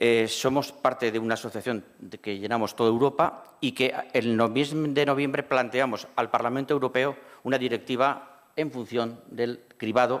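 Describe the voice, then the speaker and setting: A man's plain, everyday voice, medium in pitch, at a moderate pace with fairly even intonation. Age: 60s. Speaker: cancer survivor and patient advocate. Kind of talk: panel discussion.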